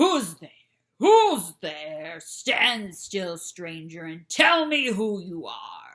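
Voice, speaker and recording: This put-on character voice growls at a middle pitch. The pace is very slow. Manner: threatening, demanding.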